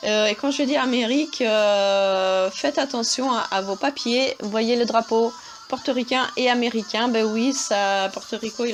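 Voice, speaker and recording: Against noticeable background noise, a woman with an Italian accent speaks fairly slowly at a fairly high pitch with ordinary pitch variation. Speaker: travel vlogger. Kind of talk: travel guide narration. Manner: hesitant, many fillers.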